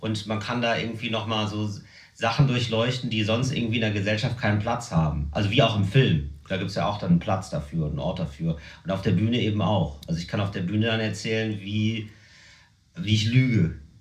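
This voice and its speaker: A man talks at a fairly quick pace, his pitch fairly low. Audible room echo and noticeable background noise surround his voice. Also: ordinary pitch variation. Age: 30s. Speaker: comedian. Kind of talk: casual chat.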